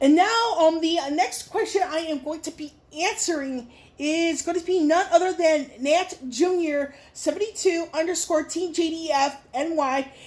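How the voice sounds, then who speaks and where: A woman's extremely high voice with an American accent, at a moderate pace with ordinary pitch variation. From Chicago, Illinois. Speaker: YouTuber. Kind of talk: Q&A vlog. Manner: halting, many fillers.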